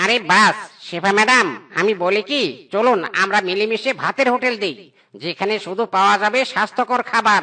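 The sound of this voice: This is a cartoonish character voice with a fairly high pitch. It moves at a moderate pace.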